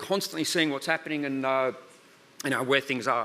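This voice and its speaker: A man with an Australian accent. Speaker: research centre director. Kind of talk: conference talk. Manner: fast.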